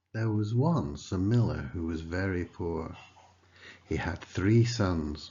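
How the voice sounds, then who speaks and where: Speaking at a very slow pace, a man with a very deep, low pitch sounds somewhat breathy, his pitch varying in an ordinary way. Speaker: narrator. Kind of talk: children's story reading.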